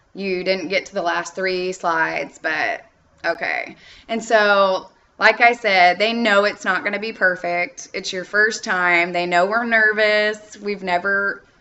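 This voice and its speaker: An ordinary speaking voice. Its intonation stays fairly even. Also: woman, medium pitch for a woman, fairly slow pace. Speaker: online English teacher giving tips. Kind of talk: tutorial.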